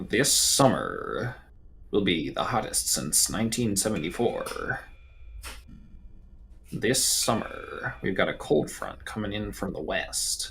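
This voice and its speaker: A man talks in a put-on character voice at a fairly slow pace. Long, frequent pauses break up his speech, and background noise is clearly audible. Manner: dramatic, weather forecast delivered in a trailer style.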